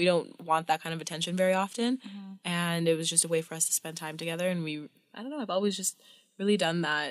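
A woman's plain, everyday voice, fairly low in pitch with ordinary pitch variation, with a Canadian accent, in a very clean recording with a silent background. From Canadian prairies. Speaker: podcast guest. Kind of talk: casual chat.

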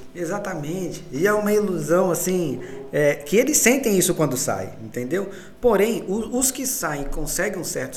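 Audible room echo surrounds a man whose high pitch carries lively intonation. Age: 30s. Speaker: musician, photographer and accountant. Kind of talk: casual chat.

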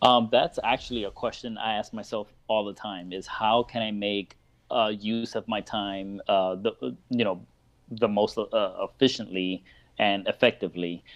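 This is a normal speaking voice at a moderate pace with fairly even intonation. The background is quiet. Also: man, fairly low pitch for a man. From Miami, Florida. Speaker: parenting blogger and speaker. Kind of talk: casual interview. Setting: live video call.

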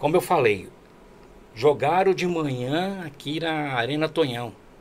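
A man's lively intonation at a fairly slow pace. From Brazil, Alto Tietê region of São Paulo state. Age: 40s. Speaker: amateur football sports announcer and field reporter. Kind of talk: casual interview.

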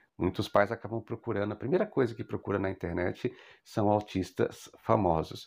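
With a Brazilian accent, a man talks at a fairly low pitch and moderate pace with ordinary pitch variation, in a very clean recording over a silent background. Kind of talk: educational monologue.

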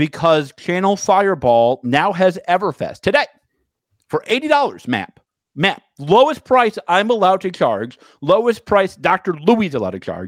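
A man with a high pitch sounds animated, his pitch swinging very widely in a dry, close sound with no echo. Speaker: podcast co-host. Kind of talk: casual banter, with a mock infomercial pitchman bit at 47:29. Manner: animated, teasing, salesy 'but wait, there's more' pitch delivery; fast, interrupting.

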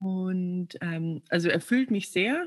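Against a quiet background, a woman talks in a somewhat breathy voice at medium pitch. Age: 20s. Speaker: coaching client, coach. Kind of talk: coaching session. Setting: video call.

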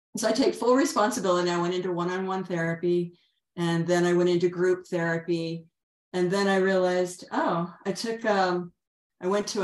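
An unremarkable speaking voice from a woman, medium in pitch, at a moderate pace with fairly even intonation. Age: 60s. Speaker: energy healer and author. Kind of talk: interview about personal healing journey.

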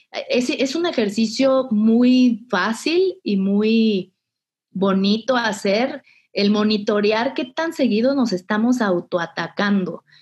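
At a very slow pace, a woman speaks in a somewhat breathy voice with lively intonation and very even loudness. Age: 30s. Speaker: breast cancer survivor. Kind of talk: personal testimony. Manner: hesitant, many fillers.

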